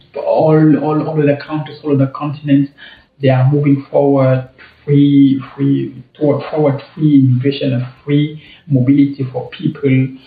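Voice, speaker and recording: A man with a non-native accent speaks at a moderate pace and a fairly high pitch. His intonation is monotone and flat. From Cameroon. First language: French. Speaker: travel vlogger. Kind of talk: casual vlog commentary. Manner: halting, many repetitions.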